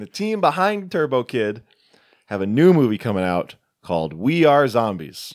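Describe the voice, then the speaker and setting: A man speaks with a medium pitch and very wide pitch swings. The recording is very clean, with a silent background. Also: moderate pace. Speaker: podcast host, horror film reviewer. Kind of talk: casual chat.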